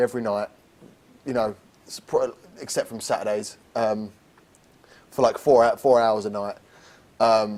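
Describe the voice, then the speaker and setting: A man speaks with an English accent. He leaves long, frequent pauses. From England. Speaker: lead actor in a student theatre production. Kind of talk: casual interview. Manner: halting, many repetitions.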